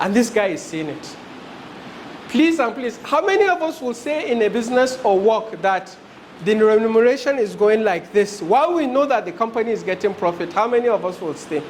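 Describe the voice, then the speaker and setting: A man with a high pitch and lively intonation at a fairly quick pace, amid audible room echo and noticeable background noise. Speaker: HR specialist, business trainer. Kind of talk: lecture. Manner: fast.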